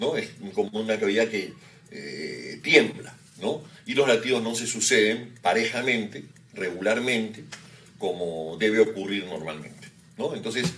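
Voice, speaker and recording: Against noticeable background noise, a man talks at medium pitch and a fairly slow pace with lively intonation. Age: 50s. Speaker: cardiologist. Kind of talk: medical interview explanation. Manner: hesitant fillers.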